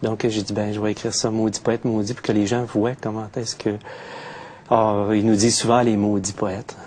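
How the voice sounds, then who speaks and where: Over noticeable background noise, a man with a Quebec accent talks at a moderate pace. His fairly low voice stays monotone and flat. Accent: Québécois French. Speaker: poet. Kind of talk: interview. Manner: hesitant, many fillers.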